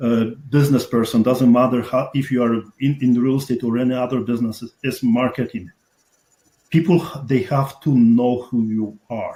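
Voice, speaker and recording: A man with a strong Polish accent and a dark, mellow tone talks at a moderate pace and medium pitch, his intonation fairly even. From Poland. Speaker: real estate investor. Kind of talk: interview.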